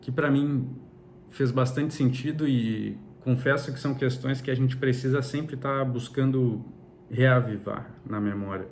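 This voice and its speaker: Somewhat breathy and with a Brazilian accent, a man speaks at a fairly slow pace with fairly even intonation, in audible room echo. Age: 30s. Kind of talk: personal religious reflection monologue. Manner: halting, with frequent repetitions.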